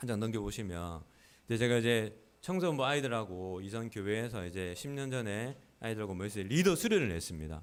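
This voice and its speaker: A man's fairly low voice, fairly quick and lively in intonation, on a very clean recording with a silent background. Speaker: pastor. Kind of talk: sermon. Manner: calm; raised pitch when preaching.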